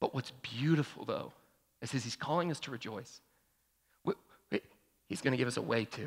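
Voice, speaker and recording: A man's medium-pitched voice at a fairly quick pace, somewhat breathy, with ordinary pitch variation and long, frequent pauses. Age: 30s. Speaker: pastor. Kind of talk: sermon. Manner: animated.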